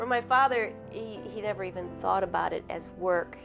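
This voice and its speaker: Speech at a moderate pace with music in the background. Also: woman. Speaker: dairy farmer's daughter. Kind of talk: interview answer.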